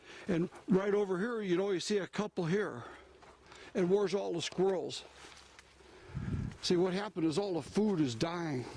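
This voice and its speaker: With noticeable background noise, a man with an American accent talks at a moderate pace in a high voice, with ordinary pitch variation and long, frequent pauses. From US, same local area all his life. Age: 60s. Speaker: outdoor vlogger, veteran. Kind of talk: walking vlog narration. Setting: outdoors, walking in woods. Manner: casual, halting with fillers.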